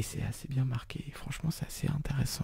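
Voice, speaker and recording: A man whispers at a moderate pace against noticeable background noise. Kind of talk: ASMR soft spoken talk about anime and manga.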